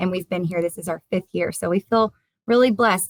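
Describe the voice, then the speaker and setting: The speaker has a slight Southern US accent and ordinary pitch variation. The sound is dry and close, with no echo. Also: woman. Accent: slight Southern American. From US South, South Carolina. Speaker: teacher and poem author. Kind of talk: interview. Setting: video call from her classroom.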